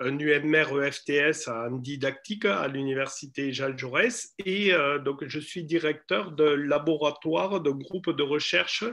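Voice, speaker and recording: A man with a fairly high pitch speaks very slowly. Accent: slight southern French. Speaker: university lecturer and researcher. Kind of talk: lecture. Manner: hesitant, many fillers.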